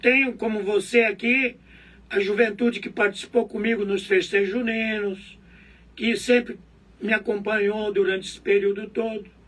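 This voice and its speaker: A man speaks in a high, monotone voice with flat intonation and big swings in loudness. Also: moderate pace. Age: 70s. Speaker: local politician. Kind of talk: interview.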